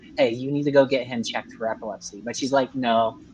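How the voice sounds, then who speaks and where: An unremarkable speaking voice moves at a fairly quick pace. The intonation stays fairly even. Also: man. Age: 20s. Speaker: guest on live stream talking about his health. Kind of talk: casual chat.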